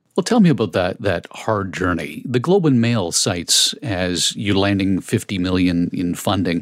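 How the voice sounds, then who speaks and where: A man talks at a moderate pace with hardly any pauses, his pitch varying in an ordinary way. He has a plain, everyday voice. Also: fairly low pitch for a man. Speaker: podcast host. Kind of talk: scripted intro narration and interview.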